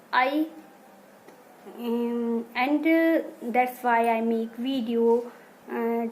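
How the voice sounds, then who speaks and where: Speaking at a very slow pace, a woman has a fairly high pitch. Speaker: English learner, beginner. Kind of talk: casual talk to camera. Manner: slow, hesitant, many pauses.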